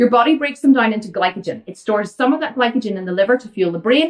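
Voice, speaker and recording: A woman in an Irish accent, talking at a very fast pace with lively intonation. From Ireland. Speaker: vegan fitness coach. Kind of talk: Q&A livestream. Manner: animated.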